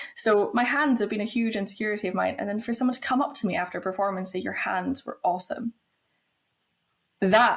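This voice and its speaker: A woman speaks at a fairly quick pace in a somewhat breathy voice with ordinary pitch variation. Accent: Scottish. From Scotland. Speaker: pole fitness instructor. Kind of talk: podcast interview.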